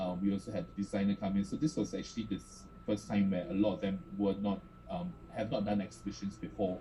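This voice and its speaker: The speaker goes at a fairly quick pace, pitch varying in an ordinary way, while noticeable background noise is heard. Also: man. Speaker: art space director. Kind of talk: panel presentation. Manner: fast.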